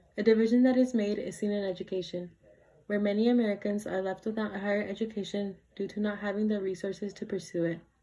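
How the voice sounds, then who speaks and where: A woman speaks very fast at a medium pitch, her intonation flat and monotone. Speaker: student debater. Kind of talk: competitive debate speech.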